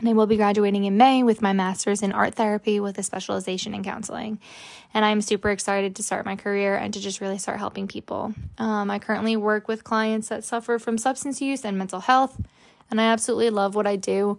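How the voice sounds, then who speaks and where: Very fast and flat in a monotone, a woman with an American accent speaks over a quiet background. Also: medium pitch for a woman. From New Jersey. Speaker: podcast host, art therapy student. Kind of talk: casual solo monologue.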